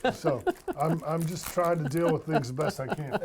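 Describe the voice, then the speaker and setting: Through noticeable background noise, a man talks at a high pitch with ordinary pitch variation. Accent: American. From North Carolina. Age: 50s. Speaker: retired minor league baseball executive. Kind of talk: casual chat.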